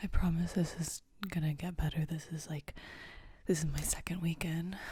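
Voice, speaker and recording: The voice is soft-spoken and somewhat breathy, with a dark, mellow tone. Intonation stays monotone and flat at a moderate pace. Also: woman. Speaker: ASMR creator and college radio host. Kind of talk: ASMR ramble, casual talk to mic. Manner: soft-spoken, rambling.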